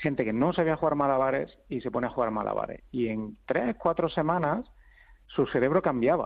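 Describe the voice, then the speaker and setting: A man with a fairly high pitch talks at a moderate pace with ordinary pitch variation. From Andalusia, Spain. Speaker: researcher. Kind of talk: interview. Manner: halting.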